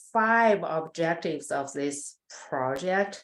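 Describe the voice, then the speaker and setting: Her pitch swinging very widely, a woman with a non-native accent speaks in a very clean recording with a silent background. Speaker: animal science researcher. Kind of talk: research presentation. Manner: hesitant, many fillers.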